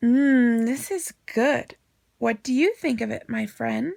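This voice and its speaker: Using a put-on character voice, a woman speaks at a high pitch in a calm tone and a fairly slow pace. The sound is dry and close, with no echo. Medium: read story.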